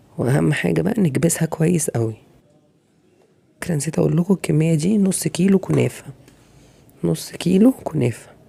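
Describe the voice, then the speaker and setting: A woman with an Egyptian accent has a very deep, low pitch and lively intonation. She talks at a moderate pace, with long, frequent pauses. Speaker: cooking channel host. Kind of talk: cooking tutorial. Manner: casual, conversational.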